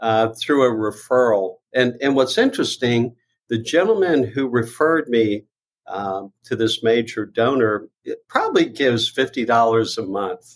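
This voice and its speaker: A man speaks at a fairly slow pace and medium pitch, with ordinary pitch variation. It is an unremarkable speaking voice. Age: 60s. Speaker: nonprofit founder and fundraiser. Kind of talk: casual interview.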